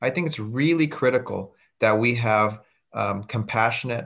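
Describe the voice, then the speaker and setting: A man with an American accent speaks at a moderate pace in an unremarkable speaking voice, his medium pitch and fairly even intonation captured on a very clean recording with a silent background. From California, Santa Clara County. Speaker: public defender running for district attorney. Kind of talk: interview.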